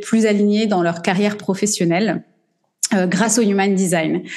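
Using an ordinary speaking voice, a woman talks at a middle pitch, her pitch varying in a normal way. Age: 40s. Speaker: business coach. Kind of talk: interview.

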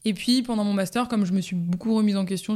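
Her tone dark and mellow, a woman speaks fairly quickly with fairly even intonation on a very clean recording with a silent background. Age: 20s. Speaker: bakery saleswoman. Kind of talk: interview. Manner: hesitant with fillers.

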